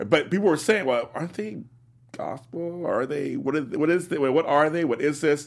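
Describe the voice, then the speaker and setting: An American-accented man with a plain, everyday voice speaks at a moderate pace, his fairly high pitch varying in an ordinary way. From South Los Angeles. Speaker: radio host. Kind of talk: casual radio interview.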